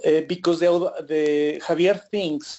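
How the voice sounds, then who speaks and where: The speaker has a Spanish accent. The pace is fairly slow. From Ecuador. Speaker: trader presenting an indicator. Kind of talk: webinar presentation. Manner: halting.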